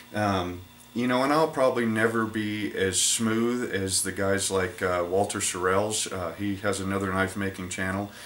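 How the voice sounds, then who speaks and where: A man with a fairly low voice talks at a moderate pace with ordinary pitch variation. Audible room echo and noticeable background noise are present. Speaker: knife maker and YouTuber. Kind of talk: casual talk to camera. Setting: workshop. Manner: halting, with fillers and repeats.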